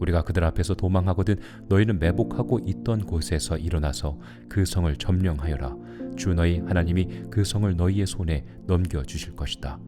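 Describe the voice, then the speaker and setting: Music plays behind a man with a very deep, low pitch. He talks at a fairly quick pace with lively intonation. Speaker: pastor. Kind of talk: scripture reading for sleep.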